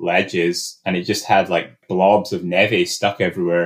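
Speaking fairly slowly, the man has a Scottish accent. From Scotland, remote area. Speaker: alpine climber. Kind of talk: casual interview.

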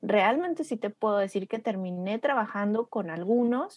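A woman's unremarkable speaking voice, fairly high in pitch, at a moderate pace with ordinary pitch variation, on a very clean recording with a silent background. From Mexico, Torreón (La Laguna). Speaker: graphic designer and strategic design consultant. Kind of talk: casual interview chat.

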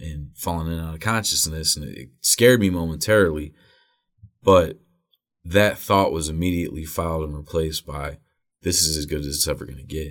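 A man with a Midwestern American accent talks at a moderate pace in a very deep, low voice with ordinary pitch variation. His loudness swings widely on a very clean recording with a silent background. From Northeast Ohio (Wadsworth, near Akron). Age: 30s. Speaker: recovering addict, recovery helpline organizer. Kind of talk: interview.

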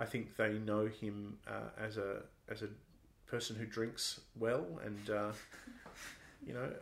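A man with an Australian accent, in audible room echo. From Australia, Sydney. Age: 30s. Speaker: Anglican priest and comedian. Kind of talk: interview conversation.

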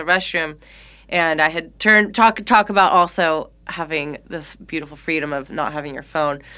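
On a very clean recording with a silent background, a woman with an American accent speaks at a fairly low pitch in a bright, sharp tone. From California, San Francisco Bay Area. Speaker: muralist. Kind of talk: casual chat. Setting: rehearsal space.

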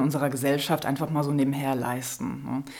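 A woman's voice over noticeable background noise. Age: 30s. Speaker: author and filmmaker. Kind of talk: interview. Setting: studio.

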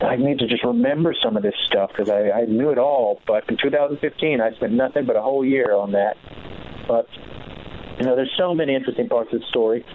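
With an American accent, a man talks at a fairly quick pace and a medium pitch, his loudness very even and his pitch varying in an ordinary way, with noticeable background noise behind him. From Los Angeles, US. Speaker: musician's son, music guest. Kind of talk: interview. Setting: phone call.

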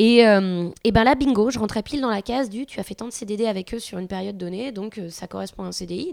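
An unremarkable speaking voice goes at a fairly quick pace with ordinary pitch variation. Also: woman. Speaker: artist and mother. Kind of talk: casual chat.

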